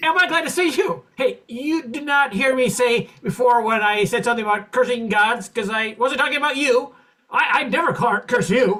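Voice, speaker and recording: A man performs a put-on character voice, extremely high-pitched, raised and projected, with lively intonation. He goes at a moderate pace with hardly any pauses. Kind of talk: 1940s radio comedy acting. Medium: stage play.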